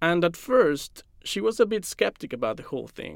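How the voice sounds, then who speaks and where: A man's fairly high voice with a Spanish accent, at a moderate pace, in a very clean recording with a silent background. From Mexico City. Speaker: science journalist. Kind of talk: scripted narration.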